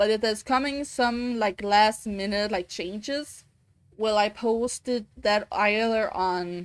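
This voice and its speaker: On a very clean recording with a silent background, a woman with a Danish accent speaks very slowly at a fairly high pitch with ordinary pitch variation. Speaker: vtuber streamer. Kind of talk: live gameplay stream chat. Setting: live stream. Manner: halting.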